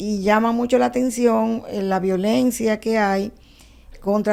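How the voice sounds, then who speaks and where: This woman's voice sits fairly high, with ordinary pitch variation. Her tone is dark and mellow. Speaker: law professor and researcher. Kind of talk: TV interview answer.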